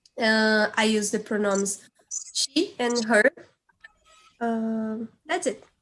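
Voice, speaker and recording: Speaking very slowly with long, frequent pauses, a woman with a Portuguese accent uses a fairly high pitch and ordinary pitch variation. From Brazil, Porto Alegre. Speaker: brass band musician. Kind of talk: online panel discussion.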